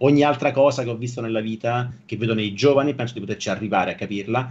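A man's very rapid delivery, pitch varying in an ordinary way. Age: 40s. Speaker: software engineer and online creator; online creator. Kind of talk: casual interview chat. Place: home room.

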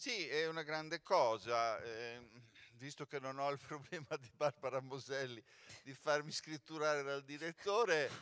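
A man talks at a fairly slow pace with a fairly high pitch. His tone is bright and sharp against a quiet background. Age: 60s. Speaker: former artistic director, jury president; theatre actor speaking at press event. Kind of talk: press conference speech. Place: stage. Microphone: handheld.

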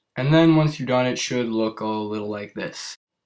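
This very clean recording has a silent background. A man speaks at a moderate pace with a medium pitch and ordinary pitch variation. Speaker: hobby tutorial maker. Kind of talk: casual DIY tutorial narration. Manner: hesitant, many filler sounds.

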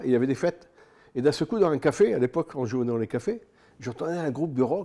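A man's fairly high-pitched voice with a dark, mellow tone, lively intonation and a fairly quick pace. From northern France, Pas-de-Calais (Liévin); Pas-de-Calais, France. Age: 70s. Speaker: boxing and MMA manager, former rock singer; guest. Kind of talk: casual interview chat; interview answer. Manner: halting, many hesitations. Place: studio. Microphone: studio mic.

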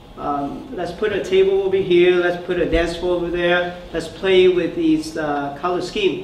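In a room with audible echo and light background noise, a man talks at a moderate pace in a high pitch, with fairly even intonation and hardly any pauses. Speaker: startup founder; presenter. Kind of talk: product demo and Q&A. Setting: stage with audience. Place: meeting room.

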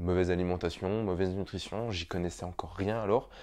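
A man speaks fairly quickly in a very deep, low voice. His intonation stays fairly even against a quiet background. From France, Montbéliard area (Franche-Comté); Franche-Comté, France. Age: 30s. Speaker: triathlon YouTuber and physiotherapist; triathlon YouTuber. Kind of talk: vlog storytelling to camera. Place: home room. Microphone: lapel.

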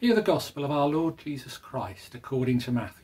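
A man talks at a medium pitch and a moderate pace, with big pitch swings. His tone is slightly mellow, with a slightly husky edge.

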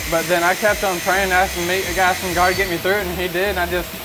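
Over noticeable background noise, a man with a high pitch speaks fairly quickly in a monotone, flat intonation. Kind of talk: interview answer. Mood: earnest, grateful. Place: workshop. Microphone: lapel.

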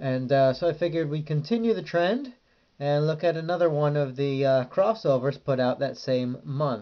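The speech moves at a moderate pace. Behind it, the background is quiet. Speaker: comic reviewer. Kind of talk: casual review commentary. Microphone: phone near.

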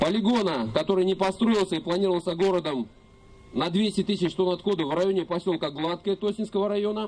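This man's pitch is high, with ordinary variation. He speaks at a fairly quick pace with very even loudness. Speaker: environmental activist; speaker. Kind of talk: rally speech. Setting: outdoors. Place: open country. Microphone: camera far.

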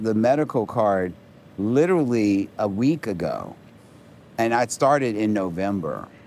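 In a dry sound with no echo and light background noise, a man speaks at a fairly slow pace with lively intonation. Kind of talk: interview answer. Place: street. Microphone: lapel.

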